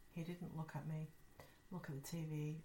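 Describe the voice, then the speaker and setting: The voice is somewhat breathy, with a dark, mellow tone. It moves at a fairly quick pace. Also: woman. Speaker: podcast host. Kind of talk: ghost story telling, reading listener-sent stories aloud. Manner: conversational, friendly, casual.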